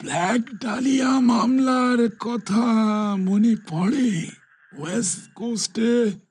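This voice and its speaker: Very slowly, a man delivers a put-on character voice at an extremely high pitch. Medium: read story. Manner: lecturing, stammering with repeated words.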